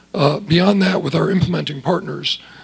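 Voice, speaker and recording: Behind a man talking with ordinary pitch variation, noticeable background noise is present. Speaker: government official testifying at hearing. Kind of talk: congressional testimony. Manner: soft-spoken; halting, many fillers.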